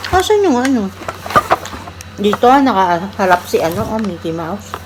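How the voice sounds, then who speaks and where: Moderate pace from a woman, noticeable background noise behind her. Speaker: vlogger, cook. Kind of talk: casual vlog chat.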